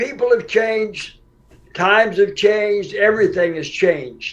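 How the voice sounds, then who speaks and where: Speaking at a fairly slow pace, a man with an American accent has a high voice and ordinary pitch variation. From US Midwest, Kansas City. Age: 80s+. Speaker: former prisoner. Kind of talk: interview answers.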